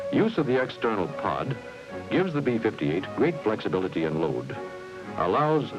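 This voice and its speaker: Over music in the background, a man with an American accent talks at a moderate pace and a medium pitch, with very wide pitch swings. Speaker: narrator. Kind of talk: promotional film narration.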